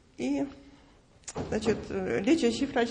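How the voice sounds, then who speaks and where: A woman at a fairly high pitch, speaking at a very slow pace. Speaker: church member giving testimony. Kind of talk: testimony. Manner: halting, hesitant.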